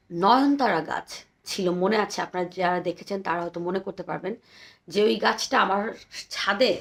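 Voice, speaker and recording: Her voice sits at a medium pitch, and this woman's pitch varies in an ordinary way. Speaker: poetry vlogger. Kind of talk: poetry reading and casual commentary. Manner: chatty, talkative.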